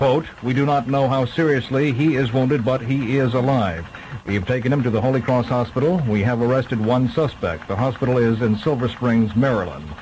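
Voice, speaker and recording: Noticeable background noise behind a man at medium pitch, fairly quick in pace, very even in loudness, with ordinary pitch variation. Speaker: radio newsreader. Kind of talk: radio news bulletin.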